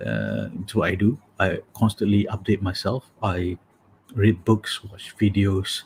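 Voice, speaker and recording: A man speaks at a fairly slow pace in a fairly low pitch, somewhat breathy. The recording is very clean, with a silent background. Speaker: matchmaking coach and live show host. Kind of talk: casual livestream chat. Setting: live video stream from home office. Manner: low-energy late-night voice.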